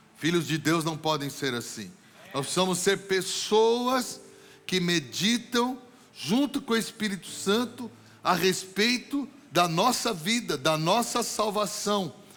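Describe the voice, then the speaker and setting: A man with a high-pitched voice speaks very slowly with lively intonation, and the room echo is audible. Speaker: pastor. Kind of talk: sermon. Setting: church.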